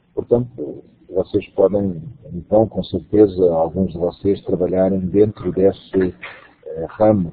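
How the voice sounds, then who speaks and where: Fairly slow and even in intonation, a man speaks at a very deep, low pitch. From Portugal. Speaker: university lecturer and course coordinator. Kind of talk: online lecture. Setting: web conference.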